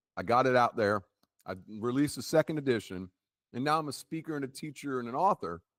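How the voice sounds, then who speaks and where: At a very fast pace, a man with a medium pitch speaks in an animated tone with lively intonation, the sound dry and close with no echo. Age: 60s. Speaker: author and business owner. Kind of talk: casual chat.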